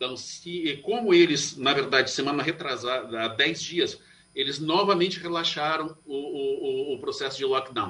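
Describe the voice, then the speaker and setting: Noticeable background noise runs under this recording. A man with a fairly high pitch and ordinary pitch variation speaks at a fairly slow pace. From Brazil, Curitiba. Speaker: Ayurvedic doctor. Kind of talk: radio interview.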